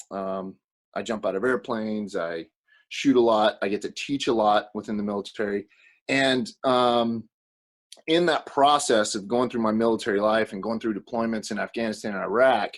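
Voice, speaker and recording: A man talks with ordinary pitch variation and a moderate pace, the background around him quiet. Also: medium pitch for a man. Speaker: military firearms instructor. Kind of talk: casual interview. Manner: halting, many fillers.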